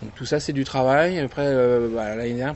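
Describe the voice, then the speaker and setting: This is a man speaking. His pitch is medium. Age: 30s. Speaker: convention founder. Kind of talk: interview. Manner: hesitant, many fillers.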